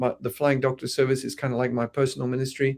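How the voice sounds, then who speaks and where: Fairly quick speech from a man at medium pitch. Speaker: missionary doctor. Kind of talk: interview. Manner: halting, many fillers.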